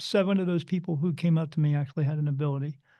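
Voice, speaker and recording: A man with an American accent talks at a very fast pace in a dark, mellow tone and high pitch, with a quiet background. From New Jersey. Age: 50s. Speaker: spirit medium. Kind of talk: podcast interview.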